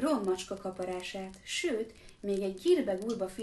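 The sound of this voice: The reading comes in an unforced reading voice, and its intonation is lively.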